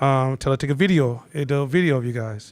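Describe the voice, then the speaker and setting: A man talks loudly at a very fast pace. His pitch is fairly high, with ordinary variation. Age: 50s. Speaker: instructor. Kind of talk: live class talk.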